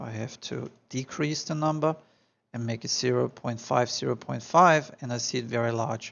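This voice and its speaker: A man speaks with a strong Austrian accent. His pitch is medium. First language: German. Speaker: architectural visualization tutor. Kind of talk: tutorial. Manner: animated.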